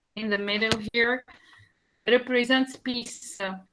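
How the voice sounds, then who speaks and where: A woman speaks at a very slow pace with an Arabic accent, her pitch high. Her tone is bright and sharp, and her intonation stays monotone and flat. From Tunisia. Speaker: country presenter. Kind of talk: presentation. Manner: halting.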